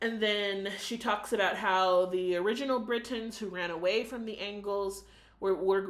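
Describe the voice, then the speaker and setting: A woman's moderate-paced speech with an American accent, medium pitch, fairly even intonation and audible room echo. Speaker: book reviewer. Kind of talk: video book review monologue. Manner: casual, with frequent fillers.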